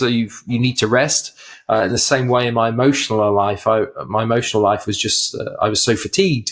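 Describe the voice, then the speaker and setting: The speaker has an English accent and keeps a moderate pace. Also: man. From England. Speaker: mental health ministry leader, former pastor. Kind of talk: podcast interview.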